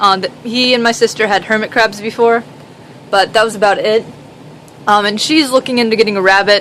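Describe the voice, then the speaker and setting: A woman's fairly high voice, with fairly even intonation, very even loudness and long, frequent pauses, over noticeable background noise. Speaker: reptile keeper. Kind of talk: casual talk to camera. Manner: stuttering, hesitant.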